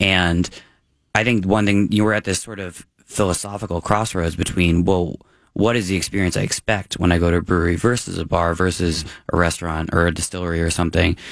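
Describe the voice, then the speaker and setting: Captured in a very clean recording with a silent background, a man's very deep, low voice holds fairly even intonation. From Massachusetts. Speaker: beer writer. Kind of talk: casual chat.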